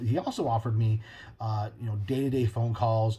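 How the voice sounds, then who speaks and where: A man's somewhat breathy, dark and mellow voice at a very fast pace, with fairly even intonation. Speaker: podcast host. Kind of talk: casual monologue.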